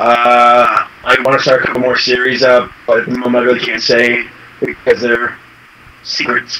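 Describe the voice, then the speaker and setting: There is noticeable background noise behind this man. His medium-pitched voice stays monotone and flat. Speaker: brony video creator. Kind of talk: interview. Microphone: faint echo.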